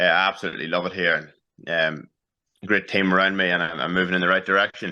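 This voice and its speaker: A man's very deep, low pitch with a bright, sharp tone, monotone and flat intonation, a very fast pace, and a quiet background. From Northern Ireland, Newry. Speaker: professional boxer. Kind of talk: interview.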